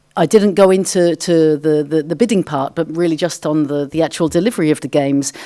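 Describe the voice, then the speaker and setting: With hardly any pauses, a woman talks very fast in a very deep, low, dark and mellow voice with ordinary pitch variation. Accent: English. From England, London. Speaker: sports federation official. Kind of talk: conference Q&A answer. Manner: halting.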